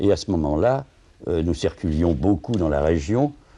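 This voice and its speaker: Against a quiet background, a man with a very deep, low pitch and a dark, mellow tone talks at a moderate pace with lively intonation. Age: old. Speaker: retired theatre administrator, former activist. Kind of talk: interview testimony. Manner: halting.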